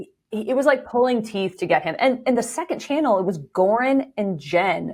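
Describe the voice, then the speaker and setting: This woman's pitch rises and falls over a very wide range. She talks at a moderate pace. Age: 40s. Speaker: content creator and author. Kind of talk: casual interview chat.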